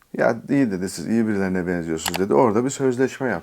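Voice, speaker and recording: A man with a fairly low pitch talks very fast, his intonation lively. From Turkey, Istanbul. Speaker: YouTuber. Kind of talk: storytelling vlog. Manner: casual, with filler hesitations.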